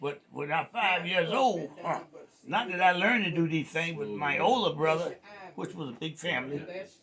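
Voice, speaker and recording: A man's high-pitched voice with lively intonation moves at a moderate pace while noticeable background noise plays underneath. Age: 80s+. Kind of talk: storytelling interview answer.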